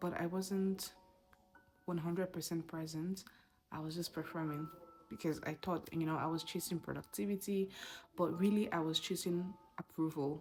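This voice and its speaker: A woman speaks at a moderate pace with a fairly low pitch and fairly even intonation, leaving long, frequent pauses. Music plays in the background. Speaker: mom vlogger. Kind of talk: personal vlog talk.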